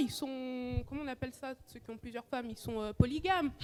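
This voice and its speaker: Speaking fairly quickly, a woman uses a high pitch. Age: 20s. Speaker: audience member in a debate show. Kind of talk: live debate audience comment. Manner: animated, assertive.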